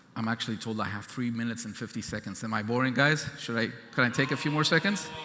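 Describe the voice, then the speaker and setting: This man talks at a very fast pace. His pitch is medium with ordinary variation. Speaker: government chief scientist. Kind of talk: keynote speech.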